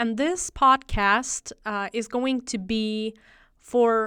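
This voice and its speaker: On a very clean recording with a silent background, a woman speaks in a bright, sharp tone at a fairly high pitch with ordinary pitch variation. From Ukraine. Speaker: ESL instructor. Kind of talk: podcast talk. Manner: conversational, with fillers.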